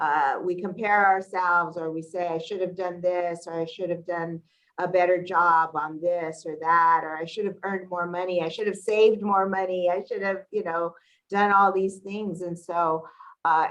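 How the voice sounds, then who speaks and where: Her pitch sits in the medium range, and her intonation is fairly flat. This woman talks at a moderate pace. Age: 60s. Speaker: community organization executive. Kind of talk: casual chat. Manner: halting.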